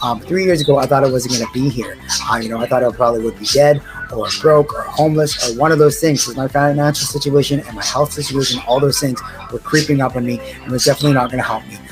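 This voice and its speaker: A man with a fairly high pitch in an excited, energetic tone at a very fast pace, music in the background. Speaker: sobriety coach. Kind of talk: motivational video talk.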